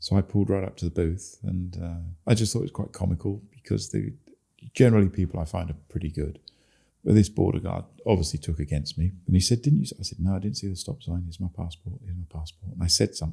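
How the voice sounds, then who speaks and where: Delivered at a very fast pace with an English accent, this voice has a dark, mellow tone, lively intonation and some vocal fry. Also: man. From England. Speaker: long-distance cyclist. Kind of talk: interview. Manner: hesitant, many fillers.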